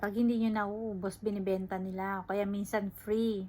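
This woman's intonation is monotone and flat. Her pace is moderate. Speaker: vlogger, factory worker. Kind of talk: casual vlog narration.

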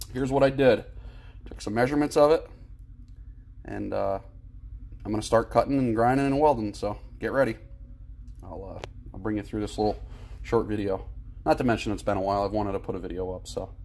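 A man speaks at a very fast pace. His loudness swings widely. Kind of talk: casual tutorial narration. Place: workshop. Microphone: phone near.

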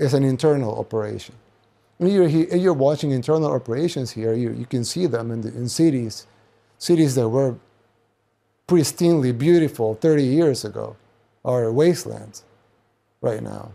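On a very clean recording with a silent background, a man with a Spanish accent and a dark, mellow tone speaks with long, frequent pauses. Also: medium pitch for a man, ordinary pitch variation, moderate pace. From El Salvador. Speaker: political commentator. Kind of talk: monologue commentary. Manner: halting, many restarts.

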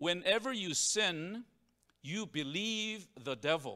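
The bright, sharp tone of a man's voice stands out against a quiet background. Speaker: preacher. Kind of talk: sermon. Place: church. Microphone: handheld.

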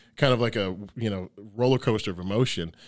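A man speaks with an American accent. His fairly low voice sits over a quiet background. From Detroit, Michigan, US; Michigan. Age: 30s. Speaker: professional bodybuilder; podcast guest. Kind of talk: casual interview. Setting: studio. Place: studio. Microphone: studio mic.

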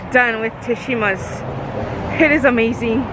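Talking at a fairly slow pace, a woman uses a raised, projected voice in a dry, echo-free sound over noticeable background noise. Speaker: family vlogger. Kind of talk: casual vlog chat. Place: street. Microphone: phone near.

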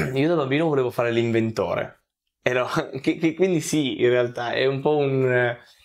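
With very even loudness and ordinary pitch variation, a man talks at a fairly slow pace, pausing long and often. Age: 20s. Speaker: content creator. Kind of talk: interview. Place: home room. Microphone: lapel.

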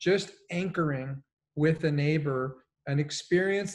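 A somewhat breathy man with an American accent, fairly high in pitch, at a fairly slow pace with fairly even intonation. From Colombia, raised partly in US. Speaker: executive coach; panelist. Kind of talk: panel discussion. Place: home room.

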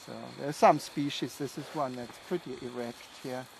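A man speaks at a moderate pace with ordinary pitch variation, the sound dry with no echo and light background noise behind him. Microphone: phone near.

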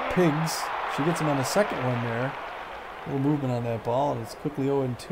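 Crowd noise fills the background as a man talks at a fairly quick pace with long, frequent pauses. His voice is fairly high, the intonation fairly even. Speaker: gaming channel host. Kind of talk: casual chat. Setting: video game let's play.

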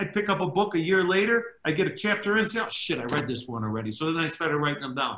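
Talking at a very fast pace with hardly any pauses, a man with a Chicago accent swings his pitch very widely against a quiet background with audible room echo. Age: 60s. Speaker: former mob associate turned government witness; witness. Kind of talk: interview storytelling. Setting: video call. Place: home room. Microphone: video call.

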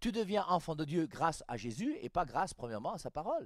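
A man's fairly quick speech with very wide pitch swings, dry sound with no echo, and a quiet background. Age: 60s. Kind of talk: catechetical teaching talk. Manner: animated. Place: studio. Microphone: headset.

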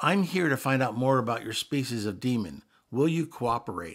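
A man uses a put-on character voice, raspy and at a medium pitch. He moves at a moderate pace. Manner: rushed, hurried.

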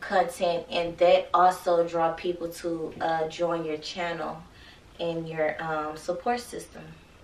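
A woman with a fairly low pitch is heard with audible room echo and light background noise. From Texas. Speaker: YouTuber. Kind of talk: casual vlog chat. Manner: animated; laughs often. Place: home room.

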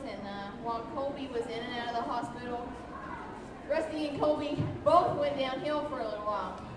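A woman speaks at a moderate pace, with a high pitch and ordinary pitch variation. Audible room echo and noticeable background noise surround her voice. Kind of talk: public speech. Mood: earnest, touching story. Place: stage.

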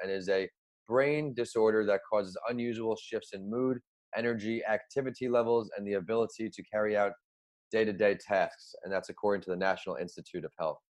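A man with an unremarkable speaking voice talks at a fairly quick pace and medium pitch, his intonation fairly even. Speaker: podcast host and author. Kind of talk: interview podcast.

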